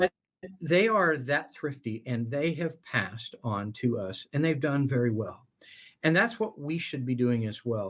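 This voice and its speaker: A man with a fairly high pitch speaks at a fairly slow pace, his pitch swinging very widely. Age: 60s. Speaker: estate planning expert. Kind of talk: interview. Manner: halting.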